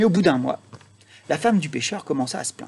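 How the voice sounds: A man talks at a fast pace in a fairly high pitch, his voice showing vocal fry, a slightly husky edge and a slightly mellow tone, with lively intonation.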